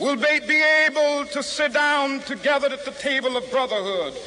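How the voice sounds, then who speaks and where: A man speaks in a raised, projected voice at an extremely high pitch. His pace is moderate, and noticeable background noise is present. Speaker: civil rights leader. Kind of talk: public speech to a rally crowd. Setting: outdoors, public address. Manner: rhythmic, impassioned oratory.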